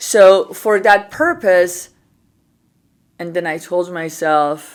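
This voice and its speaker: On a very clean recording with a silent background, a woman with an Iranian accent speaks with fairly even intonation. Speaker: podcast host and entrepreneur. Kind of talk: interview conversation. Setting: on a couch in a studio.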